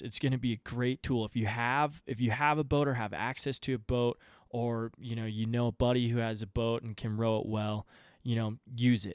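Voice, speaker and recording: The recording is very clean, with a silent background and a dry, close sound with no echo. A man speaks at medium pitch with fairly even intonation. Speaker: fly fishing guide and podcaster. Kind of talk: casual solo podcast monologue. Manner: fast talker; casual, filler-heavy.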